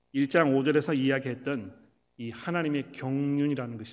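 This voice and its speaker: A man with a fairly high pitch, ordinary pitch variation and a moderate pace, amid audible room echo. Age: 50s. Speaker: pastor. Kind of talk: sermon.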